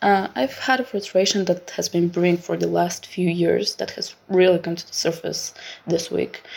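With a Bulgarian accent, a woman talks at a moderate pace in a fairly low voice. Her pitch varies an ordinary amount while her loudness swings widely. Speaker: listener leaving a voicemail. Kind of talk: voicemail message.

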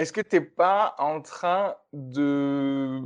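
Lively intonation from a man at a medium pitch against a quiet background. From France, Toulouse. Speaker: stand-up comedian. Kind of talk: casual chat.

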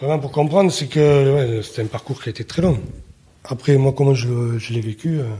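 Dark and mellow in tone, the voice carries some breathiness. Its speed is moderate, and its pitch varies in an ordinary way. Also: man, medium pitch for a man. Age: 30s. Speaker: father telling his story. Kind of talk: testimony. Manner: reserved, opens up gradually.

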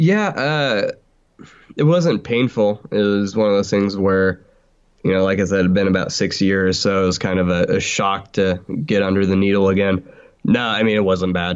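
An ordinary speaking voice at a moderate pace, with very even loudness and ordinary pitch variation. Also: man, fairly low pitch for a man. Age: 20s. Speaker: podcaster and fan. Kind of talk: casual chat.

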